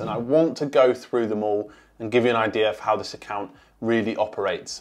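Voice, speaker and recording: The background is quiet as this man talks at a moderate pace. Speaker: productivity tool reviewer. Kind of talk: tutorial. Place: home room. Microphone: lapel.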